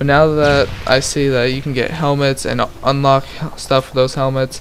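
A man with a fairly high voice talks at a moderate speed while noticeable background noise carries on. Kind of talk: gameplay commentary. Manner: monotone.

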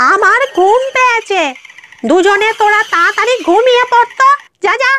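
A female-sounding, cartoonish character voice, extremely high in pitch, at a fairly slow pace.

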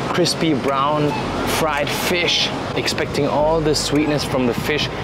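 The speech moves at a fairly slow pace over music in the background. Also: man. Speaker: food vlogger. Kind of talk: casual food review vlog. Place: market. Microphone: lapel.

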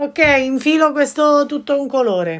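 The background stays quiet as a woman talks. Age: 60s. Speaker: embroidery craftswoman; embroidery teacher. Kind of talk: tutorial. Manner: chatty, informal. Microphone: phone near.

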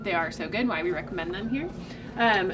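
The voice belongs to a woman. Noticeable background noise is audible behind her. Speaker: presenter. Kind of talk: tutorial. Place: shop.

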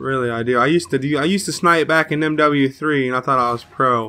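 This man has a bright, sharp tone. He talks at a moderate pace.

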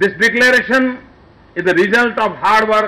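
A man speaks in a raised, projected voice at a moderate pace. His tone is bright and sharp. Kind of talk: formal speech. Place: tent. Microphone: podium.

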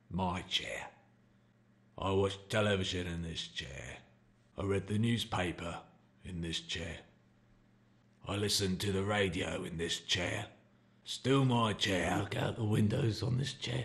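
A man puts on a cartoonish character voice, fairly low in pitch, speaking fairly slowly with long, frequent pauses. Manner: gruff, resentful.

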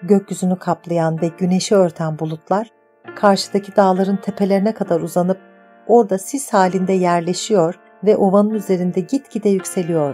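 With music in the background, a woman speaks at a medium pitch and a moderate pace, her intonation fairly even. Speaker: audiobook narrator. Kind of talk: audiobook reading of a novel.

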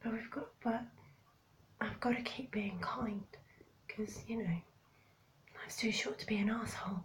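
A woman speaks in a breathy voice, fairly high-pitched, with ordinary pitch variation. Her pace is moderate, broken by long, frequent pauses. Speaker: vlogger. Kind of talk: casual vlog monologue.

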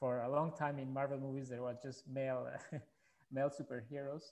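This man speaks with a Spanish accent and a fairly high pitch, his tone dark and mellow. The background is quiet. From Colombia. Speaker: filmmaker; panelist. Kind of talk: panel discussion. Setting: video call. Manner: halting. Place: home room. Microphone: headset.

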